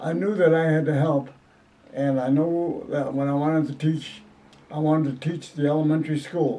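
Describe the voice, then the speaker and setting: A man with an American accent talks at a fairly high pitch in a flat monotone. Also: moderate pace. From Southwest Detroit, Michigan. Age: 80s+. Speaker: retired school principal and musician. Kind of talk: oral history interview. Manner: halting.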